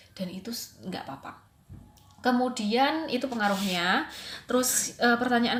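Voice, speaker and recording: A woman with a Javanese accent speaks at a moderate pace in a fairly high pitch with ordinary pitch variation, over noticeable background noise. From Java, Indonesia. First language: Javanese (speaking Indonesian). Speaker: English teacher and student. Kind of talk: recorded presentation. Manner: casual, hesitant with fillers.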